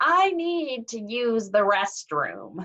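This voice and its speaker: A woman performs a put-on character voice at a fairly high pitch, with very wide pitch swings. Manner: rehearsed, eerily calm.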